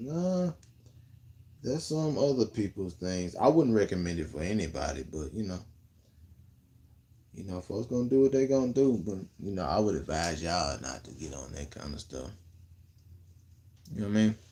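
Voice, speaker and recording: An American accent comes through at a moderate pace with long, frequent pauses, in a relaxed, dark, mellow tone. The pitch swings very widely and the loudness rises and falls a great deal. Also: man, fairly low pitch for a man. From Memphis, Tennessee (US South); Tennessee. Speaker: content creator / livestreamer; live streamer. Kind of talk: casual livestream chat answering viewer comments. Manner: laid-back, relaxed. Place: home room. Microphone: phone near.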